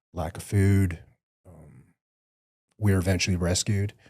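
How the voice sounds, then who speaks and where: In a very clean recording with a silent background, a man with a very deep, low pitch speaks at a fairly slow pace in a monotone, flat intonation. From Vietnam-born, raised in the US from about age five. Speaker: former special forces soldier. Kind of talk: testimony. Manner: reflective, earnest.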